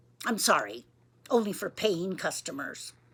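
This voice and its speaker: A woman uses a raspy put-on character voice. Her pitch is medium and her pace moderate. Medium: read story. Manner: curt, self-important.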